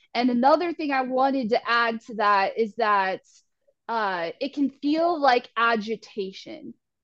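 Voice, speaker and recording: A woman with a high pitch and lively intonation at a fairly slow pace, dry and close with no echo. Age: 30s. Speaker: astrologer and spiritual life coach. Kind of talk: casual astrology forecast chat.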